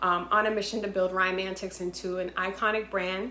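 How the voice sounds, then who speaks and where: A woman with an American accent speaks at a moderate pace and with fairly even intonation. Audible room echo and light background noise are present. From Boston, Massachusetts. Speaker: entrepreneur and game inventor. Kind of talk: sales pitch. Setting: self-recorded video. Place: home room. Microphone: phone near.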